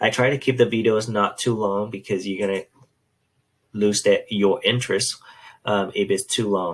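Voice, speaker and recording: A man speaks at a moderate pace in a normal speaking voice. His pitch varies in an ordinary way. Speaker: math teacher. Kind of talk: tutorial.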